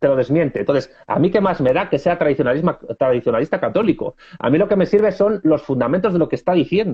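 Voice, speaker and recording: A man speaks at a fairly quick clip with a high pitch, lively intonation, very even loudness and hardly any pauses. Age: 30s. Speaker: political scientist. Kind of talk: interview.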